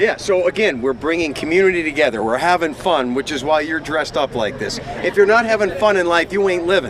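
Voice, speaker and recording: A man's high-pitched voice, very fast and lively, with hardly any pauses and noticeable background noise. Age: 60s. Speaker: TV host on charity bike ride. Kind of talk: live outdoor broadcast chat. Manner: animated.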